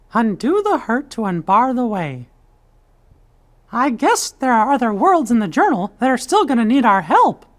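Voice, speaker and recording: The speaker performs a put-on character voice at a fairly high pitch. The pace is moderate, and the recording is very clean with a silent background. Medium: video game.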